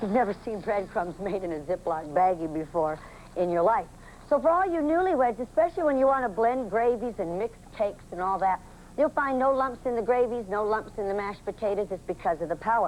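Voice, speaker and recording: Energetic in tone, a woman talks at a fairly quick pace with very wide pitch swings. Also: medium pitch for a woman. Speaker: product demonstrator. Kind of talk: TV infomercial product demonstration. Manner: energetic, friendly, fast-talking salesperson.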